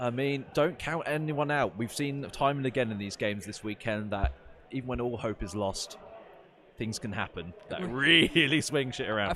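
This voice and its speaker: A man speaks at a moderate pace with a medium pitch. He has an ordinary speaking voice with ordinary pitch variation. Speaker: wargame stream commentator.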